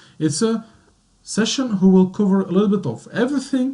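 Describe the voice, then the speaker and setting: Here is a man with a French accent. His tone is dark and mellow. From Belgium, French-speaking centre. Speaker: IT consultant. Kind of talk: webinar presentation. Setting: online webinar. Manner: hesitant, many fillers.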